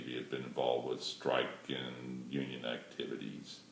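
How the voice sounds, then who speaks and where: Audible room echo hangs around the voice. A man is talking at a moderate pace. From moved around as military child. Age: 60s. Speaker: retired airline pilot. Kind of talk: audition video.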